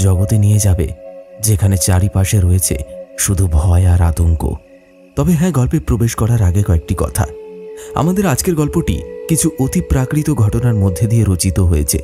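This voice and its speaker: Over music in the background, a man with a fairly low pitch makes very wide pitch swings while keeping his loudness very even. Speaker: horror story narrator. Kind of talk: intro address to listeners.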